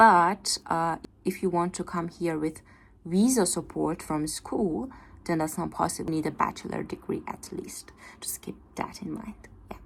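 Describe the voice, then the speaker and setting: Her pitch fairly low, a woman talks at a moderate pace with ordinary pitch variation, vocal fry and big swings in loudness. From Iran. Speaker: exchange student and part-time English teacher, vlogger. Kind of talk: casual vlog talk to camera. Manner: casual, with frequent hesitations.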